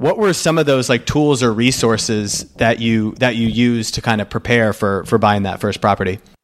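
Recorded very cleanly over a silent background, a man with a normal speaking voice and medium pitch talks at a moderate pace with ordinary pitch variation and hardly any pauses. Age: 30s. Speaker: podcast host. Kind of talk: casual interview chat.

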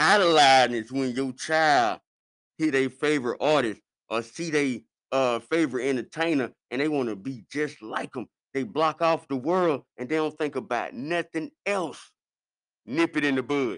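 Moderate pace and ordinary pitch variation from a man with a fairly high pitch. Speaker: comedic podcast host. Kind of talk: comedic motivational monologue. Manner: loud; animated.

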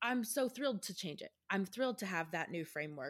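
A woman with an American accent, an unremarkable speaking voice, lively intonation and a moderate pace, on a very clean recording with a silent background. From Texas. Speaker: podcast host. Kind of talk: scripted announcements; podcast interview.

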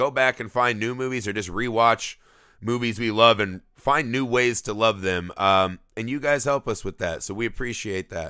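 Over a quiet background, a man speaks at a moderate pace with a medium pitch and ordinary pitch variation. His tone is animated, bright and sharp. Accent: American. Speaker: podcast host. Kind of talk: casual chat.

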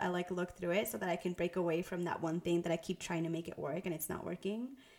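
A woman speaks very fast in a fairly low voice. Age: young. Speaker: podcast co-host, brand designer. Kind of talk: casual podcast chat.

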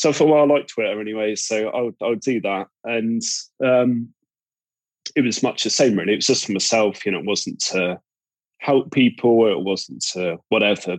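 A man with a Cornish accent at medium pitch, moderate pace and ordinary pitch variation, long, frequent pauses, and a dry, close sound with no echo. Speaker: podcast guest, recovering gambling addict.

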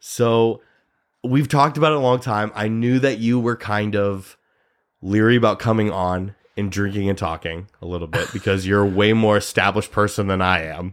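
A man with a Midwestern American accent, fairly low in pitch, at a moderate pace with ordinary pitch variation, in a very clean recording with a silent background. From US Midwest, Nebraska. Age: 30s. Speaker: podcast host, actor. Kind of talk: casual chat.

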